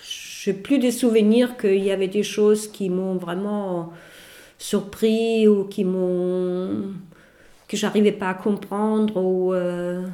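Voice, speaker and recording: With a German accent, a woman speaks at a very slow pace and with fairly even intonation. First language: German (speaking French). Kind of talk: casual chat.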